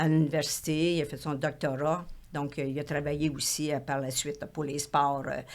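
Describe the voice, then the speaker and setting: A woman speaks in a very deep, low pitch at a moderate pace. Her intonation is monotone and flat. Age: 70s. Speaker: retired elite marathon runner. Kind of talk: interview conversation. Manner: halting, many fillers.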